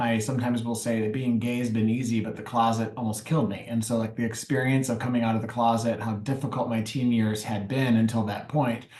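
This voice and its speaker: Speaking very fast with hardly any pauses, a man with a Michigan accent holds a medium pitch and a flat, monotone intonation against noticeable background noise. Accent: Michigan American. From US Midwest, Detroit. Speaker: nonprofit consultant. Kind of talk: interview.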